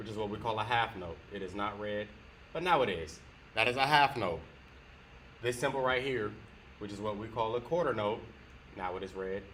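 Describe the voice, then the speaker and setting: A man's bright, sharp voice at a fairly low pitch, with ordinary pitch variation, a fairly quick pace and long, frequent pauses. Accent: Southern US. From US South. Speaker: guitar teacher. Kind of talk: tutorial.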